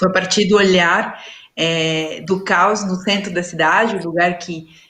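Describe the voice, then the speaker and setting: In a Peruvian accent, a woman speaks at a fairly slow pace with flat, monotone intonation. Audible room echo surrounds her voice. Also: medium pitch for a woman. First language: Spanish (speaking Portuguese). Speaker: leadership and dialogue facilitator. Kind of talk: panel talk in a live stream. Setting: online live stream. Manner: halting, with many fillers.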